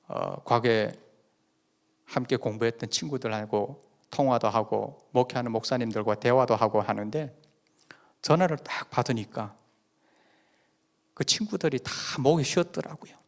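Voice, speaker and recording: A man talks at a moderate pace with a slight Busan accent, leaving long, frequent pauses. The recording is very clean, with a silent background. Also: medium pitch for a man, ordinary pitch variation. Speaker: pastor. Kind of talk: sermon. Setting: church.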